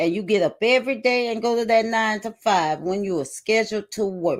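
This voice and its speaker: Music plays in the background as a woman speaks. Her pitch is fairly high, with ordinary pitch variation. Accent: Southern US. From South Carolina. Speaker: co-host, network marketer. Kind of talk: live stream talk. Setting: livestream.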